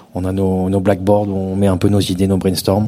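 A man's fairly low voice at a moderate pace. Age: 30s. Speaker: DJ. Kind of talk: live podcast interview. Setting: stage with live audience.

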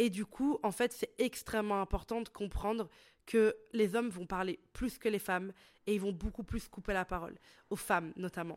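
Speech moves at a moderate pace. The recording is very clean, with a silent background. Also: woman, medium pitch for a woman, ordinary pitch variation. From Italy. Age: 20s. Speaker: podcast host and entrepreneur. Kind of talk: solo podcast monologue. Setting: studio microphone. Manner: casual, hesitant with fillers.

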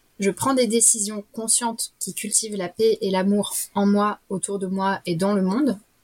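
Somewhat breathy, a woman speaks at medium pitch and a fairly slow pace with fairly even intonation, in a dry, close sound with no echo. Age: 30s. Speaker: facilitator. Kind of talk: casual chat. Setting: remote recording.

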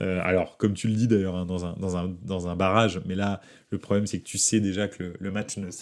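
Flat and monotone, a man's very deep, low voice moves at a moderate speed. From France. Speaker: football podcast host. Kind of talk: casual chat. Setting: live stream. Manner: halting, many fillers.

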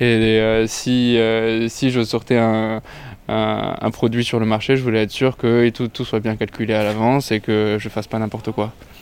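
A man talking at a fairly slow pace in a flat monotone. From Lebanon. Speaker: fashion design student. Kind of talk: interview.

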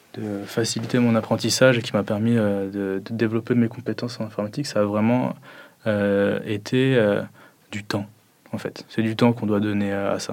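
Monotone and flat in intonation, a man talks at a fairly low pitch. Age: 20s. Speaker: software development student. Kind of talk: interview testimony.

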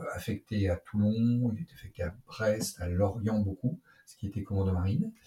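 A man's somewhat breathy voice, fairly low in pitch, with a dark, mellow tone, ordinary pitch variation and a moderate pace. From Brittany, France. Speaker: naval officer and fighter pilot. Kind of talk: interview. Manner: halting.

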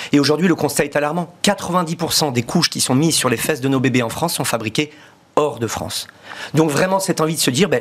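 This man's voice sits fairly high for a man, with ordinary pitch variation. He talks at a very fast pace over noticeable background noise. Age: 40s. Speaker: entrepreneur. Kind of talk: interview.

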